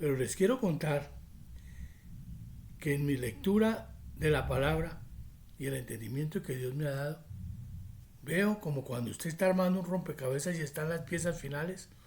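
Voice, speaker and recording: A man speaks at a moderate pace with a fairly high, somewhat breathy voice. His pitch varies in an ordinary way, and he leaves long, frequent pauses. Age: 60s. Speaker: prophecy preacher. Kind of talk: religious teaching monologue.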